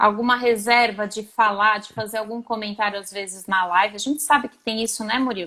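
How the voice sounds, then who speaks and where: With a São Paulo accent, a woman speaks at a fairly quick pace with hardly any pauses, using a fairly high pitch, fairly even intonation, and big swings in loudness. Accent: São Paulo accent, noticeable. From Brazil, São Paulo. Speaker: psychologist. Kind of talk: live stream interview. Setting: online live video.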